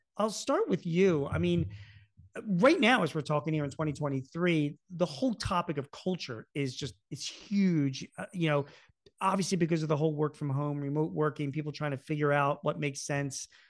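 A man with a normal speaking voice talks fairly high, varying his pitch in an ordinary way. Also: moderate pace. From US Northeast, Philadelphia. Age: 50s. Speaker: podcast host, business author. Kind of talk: interview.

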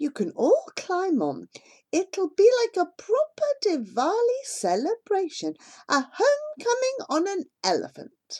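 The voice is squeaky, put on as a character by a woman. Her pitch sits extremely high, and the pace is fairly slow. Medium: read story. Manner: warm, friendly.

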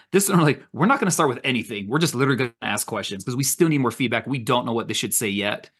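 At a very fast pace with hardly any pauses, a man talks at medium pitch with lively intonation. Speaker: podcast co-host. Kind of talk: casual chat.

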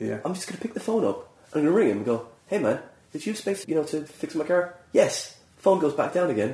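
Very wide pitch swings amid noticeable background noise. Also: man. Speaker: podcast host and comedian. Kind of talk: casual interview chat.

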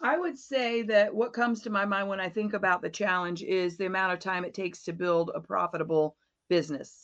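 A plain, everyday voice, a woman with an American accent at medium pitch, fairly quick in pace against a quiet background. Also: ordinary pitch variation. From Florida. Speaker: business coach and trainer. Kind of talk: interview.

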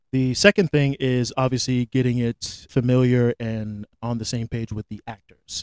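A man with an American accent speaks at a moderate pace with hardly any pauses, in an unremarkable speaking voice at medium pitch. His intonation is fairly even, and the sound is dry and close with no echo. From Florida. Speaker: film director and producer. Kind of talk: interview.

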